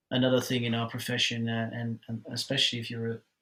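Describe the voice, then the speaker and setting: A man with a Dutch accent talks at medium pitch. His pace is moderate and his intonation monotone and flat. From Netherlands. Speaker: marketing scientist and author. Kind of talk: podcast interview. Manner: halting, many fillers and restarts.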